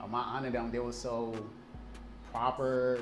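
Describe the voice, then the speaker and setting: Music plays behind a man speaking at a medium pitch with an American accent. Audible room echo fills the recording. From Liberia, then New Jersey and Maryland. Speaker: event company owner. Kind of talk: interview. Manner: repetitive, stammering restarts.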